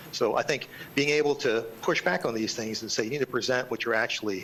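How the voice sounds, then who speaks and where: A man talks very fast at a medium pitch, with ordinary pitch variation and noticeable background noise. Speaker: public commenter representing a homeowners association. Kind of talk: public comment at a county board meeting.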